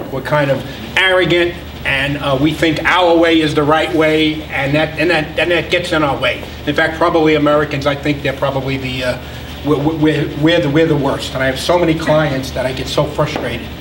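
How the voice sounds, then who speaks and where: A man with a fairly high pitch speaks in a flat monotone at a moderate pace, with noticeable background noise and audible room echo. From New York City (Brooklyn). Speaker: business consultant. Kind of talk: lecture. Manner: halting, many repetitions and fillers.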